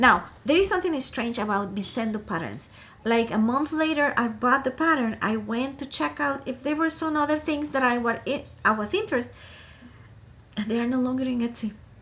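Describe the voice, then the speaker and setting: Speaking fairly quickly with lively intonation, a woman uses a high voice and a Costa Rican accent. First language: Spanish. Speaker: crafting YouTuber. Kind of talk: casual vlog chat. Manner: hesitant, many fillers and restarts.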